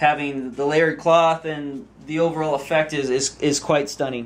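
Here a man talks at a moderate pace. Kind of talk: show-and-tell demonstration. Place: workshop. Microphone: camera far.

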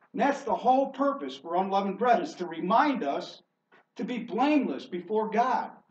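Amid audible room echo, a man speaks at a moderate pace with a high pitch. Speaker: preacher. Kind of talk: sermon. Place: church. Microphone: camera far.

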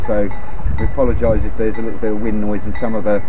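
A man at a very fast pace, with music in the background. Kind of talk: casual vlog chat. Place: garden. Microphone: lapel.

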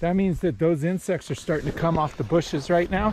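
A man talks at a fairly quick pace with ordinary pitch variation, in a dry sound with no echo over noticeable background noise. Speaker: fly fisherman vlogger. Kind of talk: casual vlog chat. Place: waterside. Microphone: phone near.

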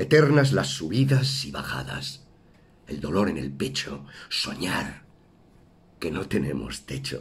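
The man's delivery is very slow. He pauses often, and the pauses are long. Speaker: actor. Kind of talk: poetry reading. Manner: emotive, stirring.

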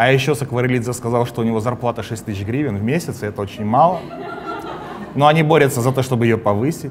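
Amid noticeable background noise, a man with a medium pitch and ordinary pitch variation talks in an animated tone at a very fast pace, broken by long, frequent pauses. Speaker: comedy show host. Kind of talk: satirical show monologue and interview. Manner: animated, sarcastic. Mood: ironic, mocking. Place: studio. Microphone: lapel.

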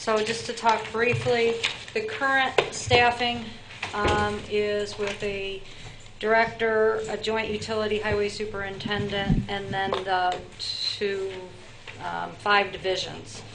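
A woman talks at a very slow pace. Loud background noise runs behind her. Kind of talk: meeting report. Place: meeting room. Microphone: podium.

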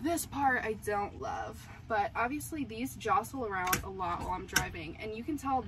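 A woman's voice amid noticeable background noise. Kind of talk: casual vlog chat. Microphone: camera far.

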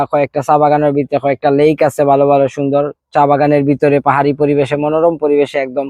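In a Sylheti accent, a man speaks at a fairly high pitch with very even loudness and monotone, flat intonation. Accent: Sylheti-tinged Bengali. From Sreemangal, Sylhet, Bangladesh. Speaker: real estate project representative. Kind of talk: promotional tourism talk.

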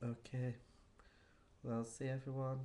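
Light background noise accompanies a man speaking in a dark, mellow tone. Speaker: vlogger. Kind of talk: casual vlog chat. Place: home room. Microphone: webcam.

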